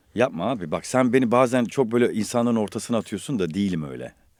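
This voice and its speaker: A dark, mellow tone comes through at a fairly quick pace with ordinary pitch variation, on a very clean recording with a silent background. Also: man. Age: 50s. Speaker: voice actor and podcast host. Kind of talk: casual chat. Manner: animated.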